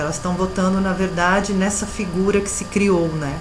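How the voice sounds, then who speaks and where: Noticeable background noise sits behind a woman with a Brazilian accent. She speaks at a fairly quick pace and a medium pitch. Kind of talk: interview answer.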